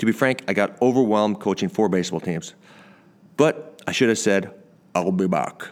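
An ordinary speaking voice, this man's is fairly low, with lively intonation and a moderate pace. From Canada. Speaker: podcast host, former pro baseball player. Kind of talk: casual interview; scripted podcast intro.

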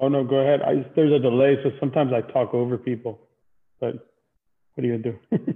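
A man with an American accent at a very fast pace, flat monotone intonation, and long, frequent pauses. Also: medium pitch for a man. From Miami, South Florida. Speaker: wrestling podcast host. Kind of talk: interview. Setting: video call.

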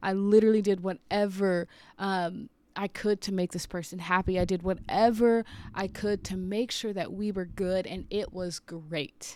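A woman's ordinary speaking voice at a medium pitch with fairly even intonation, in a very clean recording with a silent background. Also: moderate pace. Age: 30s. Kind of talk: devotional talk. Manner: casual, conversational.

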